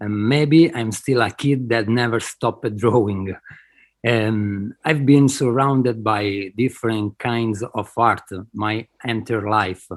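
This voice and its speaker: Very slowly and with fairly even intonation, a man speaks in an Italian accent, recorded very cleanly against a silent background. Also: medium pitch for a man. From Italy. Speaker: digital artist. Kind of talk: interview. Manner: halting, hesitant.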